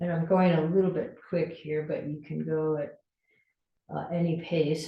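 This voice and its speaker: A woman speaks fairly slowly in a very deep, low voice. Her delivery is somewhat breathy and flat, with monotone intonation. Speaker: fitness instructor. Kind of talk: exercise class instruction.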